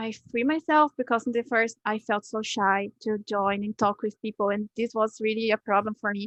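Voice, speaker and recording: A woman with a non-native accent speaks at a moderate pace with hardly any pauses. Her fairly high voice keeps a fairly even intonation. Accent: foreign. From Brazil. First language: Portuguese. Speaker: English learner. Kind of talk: interview. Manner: halting.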